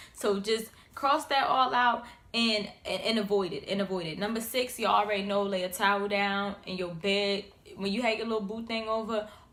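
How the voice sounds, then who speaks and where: Audible room echo carries a woman's fairly high voice. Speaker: YouTuber. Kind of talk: casual vlog tips. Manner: animated.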